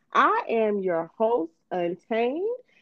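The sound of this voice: Slowly and with big pitch swings, a woman speaks at a fairly high pitch in a dry, close sound with no echo.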